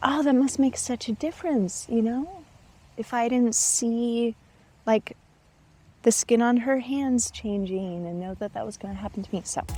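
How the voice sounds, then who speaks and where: A woman speaks with an American accent and a dark, mellow tone. Her pitch varies in an ordinary way. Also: fairly high pitch for a woman, moderate pace, big swings in loudness. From United States. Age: 40s. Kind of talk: interview answer.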